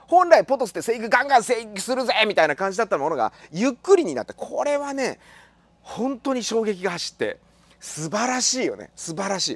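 An animated man speaks at a fairly quick pace in an extremely high pitch, with very wide pitch swings, big swings in loudness, and a dry sound with no echo. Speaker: tropical plant grower. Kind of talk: casual tutorial. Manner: halting with many fillers. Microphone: phone near.

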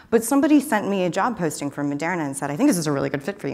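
With an American accent, a woman speaks in a fairly low pitch that moves in very wide swings. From Texas, Austin; Texas. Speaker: computational chemist; conference speaker. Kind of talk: conference talk. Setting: stage with audience. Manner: animated. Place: hall.

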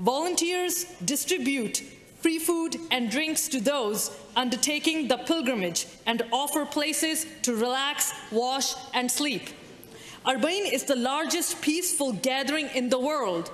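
A woman speaks in a high voice. Her pace is fairly slow. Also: lively intonation. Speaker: member of provincial legislature. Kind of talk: parliamentary speech. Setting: legislature chamber. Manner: formal; measured. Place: hall. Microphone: podium.

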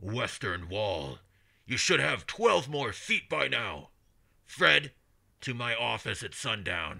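A man uses a put-on character voice, booming and raspy, at a fairly low pitch with very wide pitch swings. The recording is very clean with a silent background. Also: fairly slow pace. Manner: bossy, commanding.

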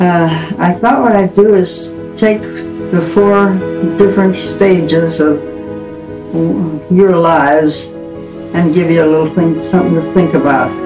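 Clear music plays in the background as the speaker goes at a fairly slow pace with long, frequent pauses. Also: woman, fairly low pitch for a woman, ordinary pitch variation. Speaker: grandmother. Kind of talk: farewell message to family. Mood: tender, calm farewell. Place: home room.

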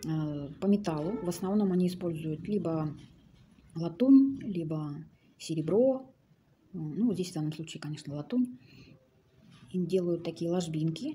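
A woman talks at a moderate pace with a fairly low pitch and a dark, mellow tone. Her voice is somewhat breathy, with light background noise. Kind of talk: casual show-and-tell commentary. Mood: calm, admiring. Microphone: phone near.

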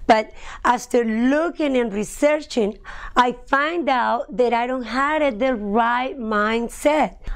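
A woman with a Spanish accent speaks at a very slow pace, her high pitch moving with ordinary variation. The background is quiet. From Colombia. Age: 30s. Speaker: personal trainer and health coach. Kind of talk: testimonial talk to camera. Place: studio. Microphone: lapel.

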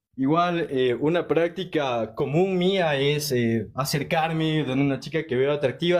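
In a Quito accent, a man talks in a fairly high voice with lively intonation. The background is quiet. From Ecuador, Quito; Ecuador. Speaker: caller. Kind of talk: casual chat. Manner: hesitant, many fillers. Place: home room. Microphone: phone near.

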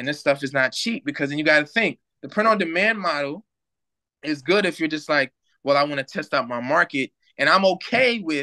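In a bright, sharp tone, a man speaks at a fairly quick pace with lively intonation over a quiet background. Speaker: remote guest. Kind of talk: interview answer. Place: home room. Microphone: video call.

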